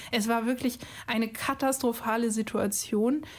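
A woman with a normal speaking voice talks at a fairly high pitch, her intonation fairly even. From Cologne, Germany. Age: 30s. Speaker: biostatistician. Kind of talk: recorded testimony.

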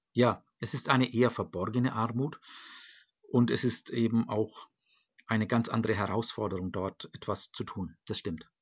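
Here a man talks at a moderate pace with medium pitch and fairly even intonation. He has an unremarkable speaking voice. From Germany, Nuremberg (Franconia). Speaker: church diocesan official for global church work. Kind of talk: interview. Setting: video call from home. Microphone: computer connection.

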